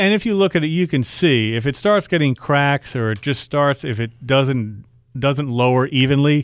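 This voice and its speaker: In an American accent, a man talks at a moderate pace with lively intonation. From US Northeast (Long Island, New York). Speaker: garage door business owner. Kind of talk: radio call-in advice. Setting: studio.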